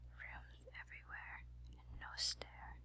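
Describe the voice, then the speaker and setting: The voice is a soft-spoken whisper. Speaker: ASMR reader. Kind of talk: sleep story. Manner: whispered.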